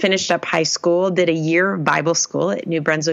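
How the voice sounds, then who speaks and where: Through noticeable background noise, a woman speaks with a very deep, low pitch and ordinary pitch variation. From New England. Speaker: youth ministry director. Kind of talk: interview.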